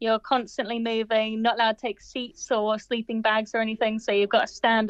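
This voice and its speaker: A woman talks at a fairly quick pace. She hardly pauses at all. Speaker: radio call-in guest. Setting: phone call over WhatsApp.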